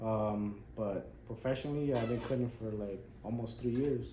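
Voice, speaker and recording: Audible room echo surrounds a man with an American accent who speaks at a moderate pace. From Las Vegas, US. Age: 30s. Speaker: barber. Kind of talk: casual chat.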